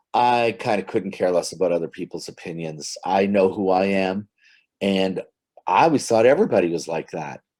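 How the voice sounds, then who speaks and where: At a moderate pace, a plain, everyday voice shows ordinary pitch variation in a very clean recording with a silent background. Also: man, fairly low pitch for a man. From northern Ontario, Canada. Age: 60s. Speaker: comedy writer. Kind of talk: casual interview.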